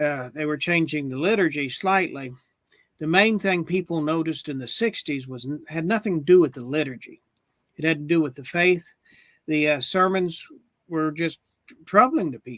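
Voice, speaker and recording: A man with an American accent speaks at a moderate pace in a fairly high pitch with ordinary pitch variation. It is an ordinary speaking voice on a very clean recording with a silent background. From Oklahoma. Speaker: religious leader claiming papacy. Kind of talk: interview; casual chat.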